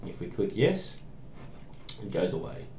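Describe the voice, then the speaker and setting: A speaker with an Australian accent is heard with audible room echo. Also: man. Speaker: programming tutorial maker. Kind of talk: tutorial. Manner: casual, hesitant with fillers.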